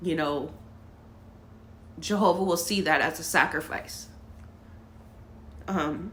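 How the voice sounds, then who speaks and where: Speaking at a fairly slow pace with long, frequent pauses, a woman keeps a fairly low pitch and fairly even intonation. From Los Angeles, California. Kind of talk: personal story to camera.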